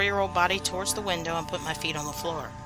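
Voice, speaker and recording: Music plays in the background as a woman speaks. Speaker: horror podcast host. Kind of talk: scary story narration.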